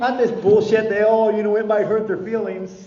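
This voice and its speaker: Against noticeable background noise and audible room echo, a man with an American accent sounds animated at a high pitch. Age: 60s. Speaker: recovery speaker. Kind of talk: speaker meeting talk.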